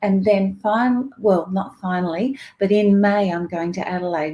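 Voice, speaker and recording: A woman with an Australian accent and a medium pitch has a dark, mellow tone on a very clean recording with a silent background. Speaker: psychic reader. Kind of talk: livestream talk. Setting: live video stream.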